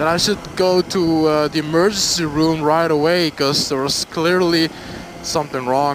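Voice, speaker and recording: With a Flemish Belgian accent, a man talks at a fairly slow pace in a fairly high voice, with noticeable background noise behind him. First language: Dutch. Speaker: motorcycle vlogger. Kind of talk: casual storytime vlog. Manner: halting, many fillers.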